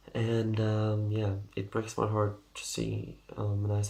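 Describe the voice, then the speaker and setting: Somewhat breathy, a man speaks at a fairly low pitch. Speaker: personality type video creator. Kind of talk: casual explainer monologue. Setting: at home at night. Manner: quiet, ASMR-like; halting, many fillers.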